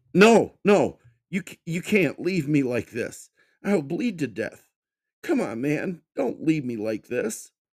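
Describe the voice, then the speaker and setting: A man's whiny, put-on character voice, high-pitched with very wide pitch swings at a very slow pace. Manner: whining, fearful.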